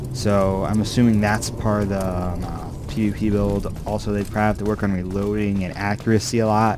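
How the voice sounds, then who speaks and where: A man's fairly low, fairly even voice at a fairly quick pace with hardly any pauses, audible room echo and music in the background. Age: young. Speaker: gaming youtuber. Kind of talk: gameplay commentary. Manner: halting, many fillers.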